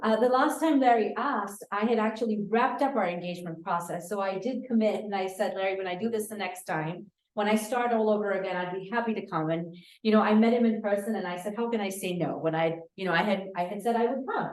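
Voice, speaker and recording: A woman at a medium pitch rushes along very fast with hardly any pauses and ordinary pitch variation, amid audible room echo. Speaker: city budget director. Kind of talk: public presentation. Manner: loud.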